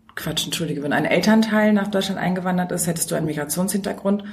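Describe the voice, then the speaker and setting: In a room with audible echo, a woman speaks at a fairly low pitch, somewhat breathy, with ordinary pitch variation. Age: 30s. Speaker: teacher and researcher. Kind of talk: interview.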